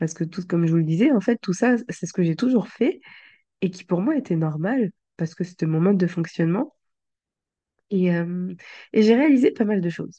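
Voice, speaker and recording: With long, frequent pauses and a moderate pace, a woman talks at a medium pitch in a dark, mellow tone, her intonation lively. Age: 20s. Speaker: life coach and podcaster. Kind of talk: intimate personal monologue. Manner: hesitant, many fillers and repetitions.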